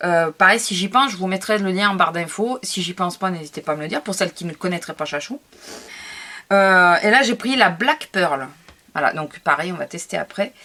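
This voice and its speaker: Bright, sharp tone at a moderate pace. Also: woman, medium pitch for a woman, lively intonation. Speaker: scrapbooking youtuber. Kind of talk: product haul video. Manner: hesitant, many fillers.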